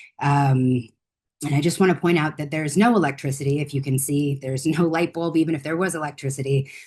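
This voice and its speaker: A woman talks very fast in an American accent. Her pitch is very deep and low, with fairly even intonation. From United States. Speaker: conservator and researcher. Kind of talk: conference presentation. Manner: casual, with many fillers.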